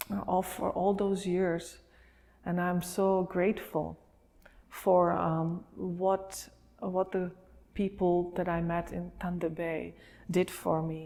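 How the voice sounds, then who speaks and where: Speaking very slowly with a Slovak accent and long, frequent pauses, a woman has a fairly low pitch. Her tone is dark and mellow, and her intonation is flat and monotone. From Slovakia. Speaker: refugee sharing her life story. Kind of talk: interview testimony. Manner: hesitant with many fillers.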